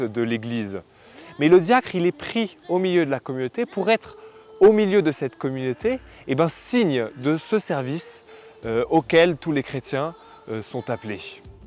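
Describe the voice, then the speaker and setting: Against noticeable background noise, a man with a fairly high pitch talks at a fairly slow pace, his pitch swinging very widely. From France, Savoie. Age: 20s. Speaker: deacon candidate, future priest. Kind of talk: personal testimony interview. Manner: hesitant, with fillers.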